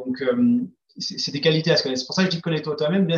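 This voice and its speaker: This man's pitch is fairly high. He rattles along at a very fast pace. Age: 40s. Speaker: entrepreneur. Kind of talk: interview. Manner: halting, many hesitations.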